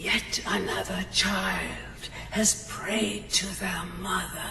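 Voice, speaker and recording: Over loud background noise and a clear echo, someone speaks very slowly in a put-on character voice. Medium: game stream. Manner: solemn, ritualistic, commanding.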